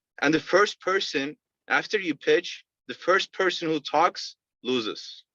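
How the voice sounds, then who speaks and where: Bright and sharp in tone, a man speaks with a non-native accent and lively intonation. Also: dry, close sound with no echo. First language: not English. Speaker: sales rep. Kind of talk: interview. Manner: halting.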